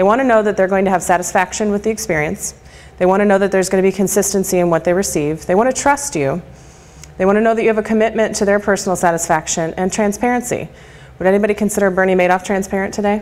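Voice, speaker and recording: The woman speaks at a medium pitch with ordinary pitch variation. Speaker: marketing and communications speaker. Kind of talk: lecture presentation. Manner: fast.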